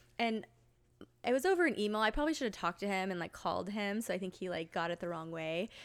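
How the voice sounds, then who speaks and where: On a very clean recording with a silent background, a woman speaks very fast at a medium pitch. Her intonation is lively. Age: 30s. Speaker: school therapist. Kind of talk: casual chat. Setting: at a home.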